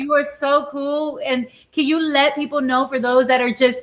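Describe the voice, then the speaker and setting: High-pitched woman's voice in a Spanish accent, with fairly even intonation. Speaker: live-stream cooking show host. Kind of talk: casual chat. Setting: live stream.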